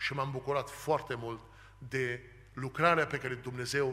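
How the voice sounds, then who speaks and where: Speaking at a moderate pace, a man holds a medium pitch with monotone, flat intonation. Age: 40s. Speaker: preacher. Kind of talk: sermon. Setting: church. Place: church. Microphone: podium.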